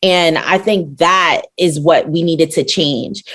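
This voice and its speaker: A woman in a normal speaking voice, with an American accent and a fairly low pitch, talks at a fairly slow pace with ordinary pitch variation. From Brooklyn, New York. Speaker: rapper and NFT artist. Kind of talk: podcast interview.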